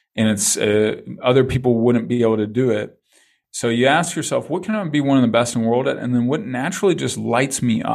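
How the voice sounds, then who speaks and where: An ordinary speaking voice from a man at medium pitch, fairly quick in pace with ordinary pitch variation, on a very clean recording with a silent background. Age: 40s. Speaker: business coach and speaker. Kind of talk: interview conversation.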